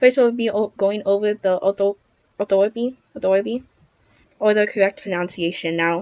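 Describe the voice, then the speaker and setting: Fairly quick, fairly even-toned speech with a Guamanian accent. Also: woman, medium pitch for a woman. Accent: Guamanian Chamorro English. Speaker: student presenter. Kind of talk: lecture. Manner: halting, self-correcting.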